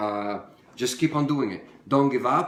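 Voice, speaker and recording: A man speaks with an Italian accent. Audible room echo and noticeable background noise surround him. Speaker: home cook. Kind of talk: live stream cooking tutorial. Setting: home kitchen, daughter filming. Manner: casual, hesitant with fillers.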